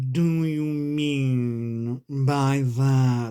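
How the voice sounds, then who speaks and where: A put-on character voice speaks in a low-to-middle pitch. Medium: read story. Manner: curt, short remarks.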